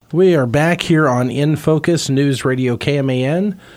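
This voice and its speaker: A man's fairly high voice, an unremarkable speaking voice, with ordinary pitch variation. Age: 40s. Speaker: radio host. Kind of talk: radio interview. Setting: radio studio.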